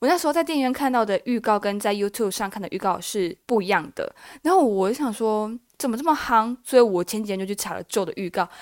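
A woman races along at a very fast pace, her intonation lively. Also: fairly high pitch for a woman, very clean recording, silent background. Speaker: solo podcaster. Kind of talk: casual chat. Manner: stumbles over words.

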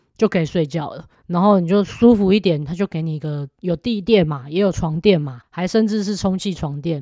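A woman's fairly low, dark, mellow voice at a fairly quick pace, hardly any pauses and ordinary pitch variation, on a very clean recording with a silent background. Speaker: labor law podcast host and instructor. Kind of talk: casual explanatory monologue. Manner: soft-spoken, usually too quiet.

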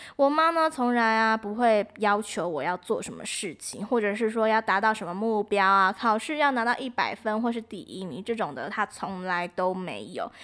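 A woman with a plain, everyday voice speaks at a moderate pace in a fairly high pitch with lively intonation. The recording is very clean with a silent background. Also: hardly any pauses. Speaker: student radio host. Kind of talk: scripted radio presenting.

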